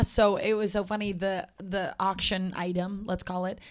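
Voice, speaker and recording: Her pace is fairly slow and her intonation fairly even. This woman has an ordinary speaking voice at medium pitch. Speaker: podcast co-host. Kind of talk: casual podcast chat.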